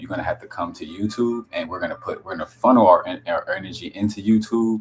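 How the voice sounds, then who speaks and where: Over music in the background, a man speaks quietly at a fairly quick pace. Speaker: wellness content creator. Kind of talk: casual live stream chat. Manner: halting, many restarts; quiet, low voice.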